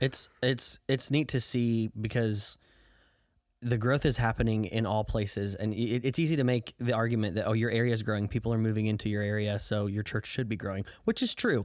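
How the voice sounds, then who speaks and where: A man with an American accent talks in a normal speaking voice at a medium pitch, with very even loudness and fairly even intonation, on a very clean recording with a silent background. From US Midwest, Southern Illinois. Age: 20s. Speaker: youth pastor. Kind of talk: testimony; casual chat. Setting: podcast interview. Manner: casual with many fillers.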